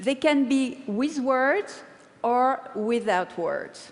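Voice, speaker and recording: A woman speaks at a very slow pace with a French accent. Her pitch is high. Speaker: paper-cut artist. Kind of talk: TED talk.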